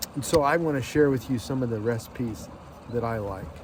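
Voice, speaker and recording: A man's voice, with ordinary pitch variation, comes through audible room echo and noticeable background noise. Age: 60s. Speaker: lifestyle vlogger. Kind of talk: casual vlog monologue. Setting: outdoors on a lake.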